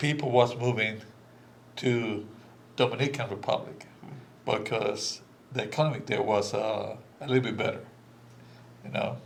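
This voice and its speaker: Speech at a moderate pace with fairly even intonation and long, frequent pauses is heard through noticeable background noise and audible room echo. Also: man, medium pitch for a man. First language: Spanish. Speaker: immigrant guest speaker. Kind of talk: candid conversation. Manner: halting, many fillers.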